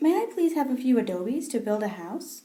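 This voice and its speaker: Using a put-on character voice, a woman talks fairly quickly at a high pitch. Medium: read story.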